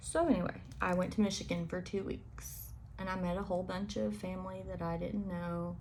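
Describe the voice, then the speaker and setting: At a fairly quick pace, a woman talks with music in the background. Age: 20s. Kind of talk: personal storytelling to camera. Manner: casual, hesitant with many fillers.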